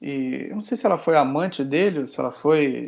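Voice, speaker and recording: A man speaks with a Brazilian accent. His pitch is fairly high. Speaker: podcast co-host. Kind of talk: casual chat.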